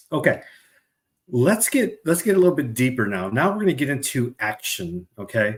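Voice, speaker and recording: In an American accent, a somewhat breathy voice moves through very wide pitch swings on a very clean recording with a silent background. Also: man, fairly high pitch for a man, moderate pace. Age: 50s. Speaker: webcast host. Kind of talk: moderated panel webcast. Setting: webcast.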